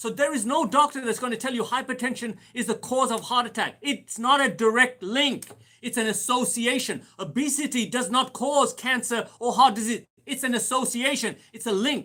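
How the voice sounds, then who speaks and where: Raising and projecting his voice, a man talks with hardly any pauses in a bright, sharp, animated tone at an extremely high pitch. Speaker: doctor hosting health Q&A. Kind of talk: live Q&A talk. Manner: fast.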